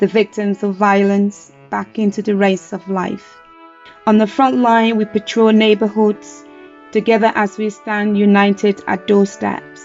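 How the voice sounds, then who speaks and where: Monotone, flat intonation from a woman at medium pitch, at a fairly slow pace, with music in the background. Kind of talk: poetry reading.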